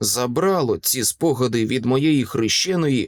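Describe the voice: Someone does plain reading aloud with lively intonation.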